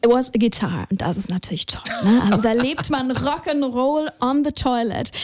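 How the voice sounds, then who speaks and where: A woman with a high-pitched voice talks at a fairly quick pace with lively intonation, over noticeable background noise. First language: German. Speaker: radio host. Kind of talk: radio interview. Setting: radio studio.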